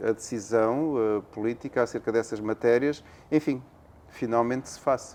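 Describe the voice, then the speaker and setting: Here a man speaks with a European Portuguese accent at a moderate pace. His pitch is medium, and the background is quiet. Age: 60s. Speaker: academic, territorial planning expert. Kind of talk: interview. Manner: hesitant, with fillers.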